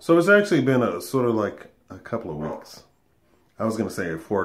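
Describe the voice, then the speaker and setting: A man speaks in a weary tone. His pace is fairly quick. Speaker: vlogger. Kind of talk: casual vlog chat. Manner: weary, congested sick voice. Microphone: phone near.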